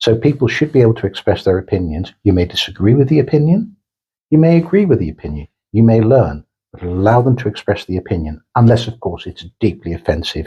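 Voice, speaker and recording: A man's somewhat breathy voice of medium pitch, dark and mellow in tone, with very wide pitch swings at a very fast pace. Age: 60s. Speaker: corporate executive. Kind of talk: interview.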